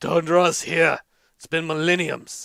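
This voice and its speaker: Putting on a character voice, a man talks at a fairly slow pace in a high pitch with monotone, flat intonation. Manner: angry, exclaiming.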